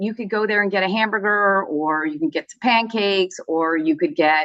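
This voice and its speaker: A woman with a medium pitch speaks in a bright, sharp tone with very wide pitch swings. The sound is dry and close, with no echo. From US, Southern California (born in Vancouver, Canada). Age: 60s. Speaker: lawyer. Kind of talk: interview.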